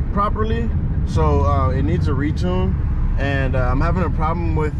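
Moderate-paced speech, dry with no echo, under loud background noise. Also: man. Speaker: car vlogger. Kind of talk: casual vlog chat. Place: car. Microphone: phone near.

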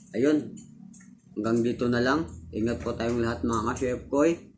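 With music in the background, a man speaks fairly slowly at a medium pitch, with ordinary pitch variation. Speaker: cooking video creator. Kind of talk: tutorial. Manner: casual, animated.

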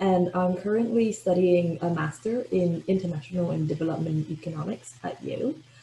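A woman talks at a moderate pace with hardly any pauses. Her pitch varies in an ordinary way, and there is light background noise. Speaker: postgraduate scholarship recipient. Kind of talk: webinar talk about personal experience. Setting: video call. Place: home room. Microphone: webcam.

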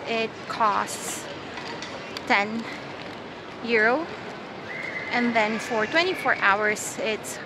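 Speech comes at a very slow pace with long, frequent pauses and ordinary pitch variation, against noticeable background noise. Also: woman. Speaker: traveler vlogger. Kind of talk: casual vlog tutorial. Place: station. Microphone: earbuds.

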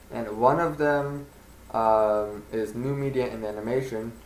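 There is audible room echo around the voice. A man speaks with fairly even intonation. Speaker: vlogger. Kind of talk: casual talk to camera. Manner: hesitant, stuttering. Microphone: webcam.

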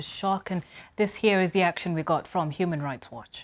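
This woman has a fairly low pitch and talks at a fairly quick pace. Her intonation stays fairly even. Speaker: news presenter. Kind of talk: news reading. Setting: studio. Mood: calm, serious. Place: studio. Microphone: lapel.

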